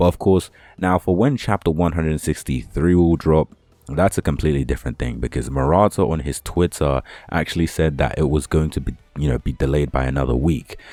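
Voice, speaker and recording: A man with a British accent talks at a fairly quick pace in a very deep, low voice with ordinary pitch variation. The sound is dry and close with no echo, and music plays in the background. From UK. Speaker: anime and manga YouTuber. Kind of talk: casual vlog talk to camera. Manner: casual, rambling with fillers.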